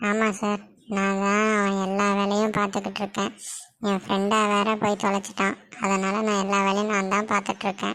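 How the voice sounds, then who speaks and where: In a cartoonish character voice at a medium pitch, a woman speaks monotone and flat at a moderate pace, on a very clean recording with a silent background. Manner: cheeky, fast.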